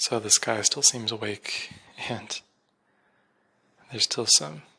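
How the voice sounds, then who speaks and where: A soft-spoken man talks at a fairly slow pace. His voice carries vocal fry. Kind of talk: solo reflective monologue. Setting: at home at night. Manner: hesitant, many fillers.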